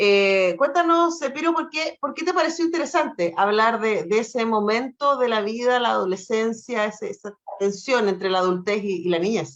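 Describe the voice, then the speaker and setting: With a Chilean accent and hardly any pauses, a woman at a fairly high pitch makes very wide pitch swings. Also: moderate pace. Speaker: radio host. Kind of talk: interview.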